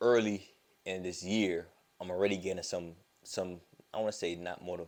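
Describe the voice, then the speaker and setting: A man speaks with an American accent. His intonation stays monotone and flat. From Florida, US South. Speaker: vlogger. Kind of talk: casual vlog monologue. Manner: mumbles or stumbles over words.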